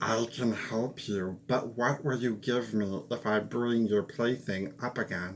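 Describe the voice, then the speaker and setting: A man does a put-on character voice at medium pitch, fairly slow with hardly any pauses. Clear background noise sits behind him. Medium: read story.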